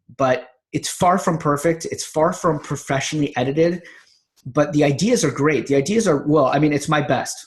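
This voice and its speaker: The speaker is a man who sounds somewhat breathy. He keeps a moderate pace. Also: fairly high pitch for a man, ordinary pitch variation. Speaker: natural health author and podcaster. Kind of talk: casual vlog monologue. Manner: long run-on sentences; halting with fillers.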